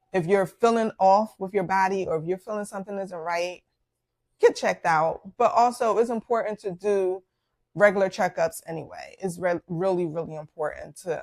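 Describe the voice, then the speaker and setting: A woman with a Philadelphia accent speaks at a moderate pace in a medium pitch, with fairly even intonation. The sound is dry and close with no echo, on a very clean recording with a silent background. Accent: Philadelphia American English. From Philadelphia, US. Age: 40s. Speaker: podcast host, doctor. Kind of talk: personal health story, casual monologue. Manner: hesitant with many fillers.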